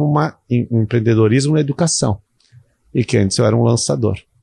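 Over a quiet background, in a dry, close sound with no echo, a man's somewhat breathy, dark, mellow voice carries lively intonation. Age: 50s. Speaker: university lecturer and online course creator. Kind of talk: casual interview.

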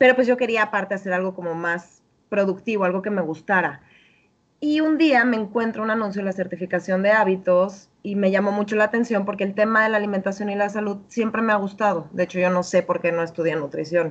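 A woman with a Mexican accent, medium pitch, ordinary pitch variation and a fairly quick pace. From Mexico. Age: 30s. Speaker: health and habits coach. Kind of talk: interview.

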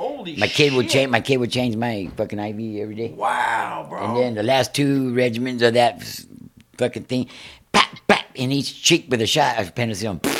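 An unremarkable speaking voice, pitched with ordinary variation, keeps to a moderate pace. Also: man, medium pitch for a man. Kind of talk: storytelling, crude anecdote. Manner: gruff, profane, storytelling.

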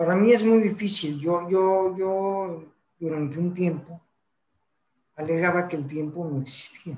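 Taking long, frequent pauses, a man with a high pitch talks at a fairly slow pace with fairly even intonation. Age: 70s. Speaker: podcast co-host. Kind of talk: casual chat.

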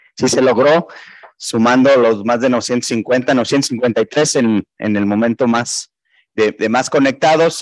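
The speech moves at a very slow pace with fairly even intonation. The sound is dry and close with no echo, over a quiet background. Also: man. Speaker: regional president of professional accountants' body. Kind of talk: closing remarks.

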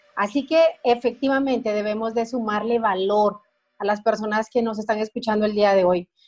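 At a moderate pace, a woman with an ordinary speaking voice and fairly high pitch talks with fairly even intonation. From Guatemala. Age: 40s. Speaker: life coach and entrepreneur. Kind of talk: interview testimony.

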